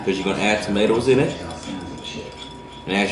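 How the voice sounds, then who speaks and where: Someone with an American accent speaks amid noticeable background noise and audible room echo. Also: man. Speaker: cooking channel host. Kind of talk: cooking tutorial. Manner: casual, rambling with self-corrections.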